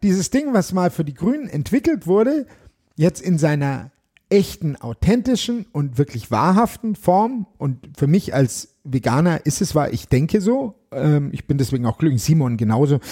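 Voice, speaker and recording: With a dark, mellow tone and a fairly high pitch, a man speaks at a moderate pace with very wide pitch swings, the sound dry and close with no echo. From Germany, Bavaria, moved around a lot. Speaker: political candidate and musician. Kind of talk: interview chat.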